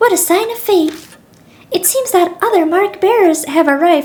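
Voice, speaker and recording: A squeaky put-on character voice from a woman, extremely high in pitch, at a moderate pace. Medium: game stream. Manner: polite, formal.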